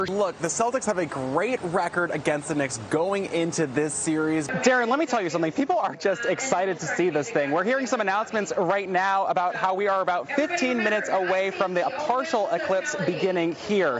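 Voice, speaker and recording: Over noticeable background noise, an energetic man with a high pitch talks at a fairly quick pace with very wide pitch swings and hardly any pauses. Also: very even loudness. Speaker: news reporter. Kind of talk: television news reporting. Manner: urgent, energetic, live-report delivery.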